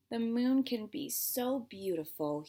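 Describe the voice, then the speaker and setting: A female-sounding voice puts on a character voice, fairly high in pitch and delivered at a fairly slow pace. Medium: read story.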